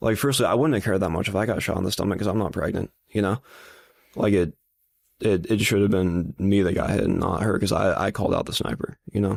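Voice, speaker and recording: With an American accent, a man talks at a very fast pace in a fairly low voice, with ordinary pitch variation, very even loudness and a dry, close sound with no echo. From Napa, California. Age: 20s. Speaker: college student and bagpipe player activist. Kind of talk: interview answer. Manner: casual, halting.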